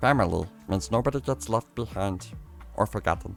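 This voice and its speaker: A man's put-on character voice, very deep and low, at a fairly quick pace over clear background music. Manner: weird.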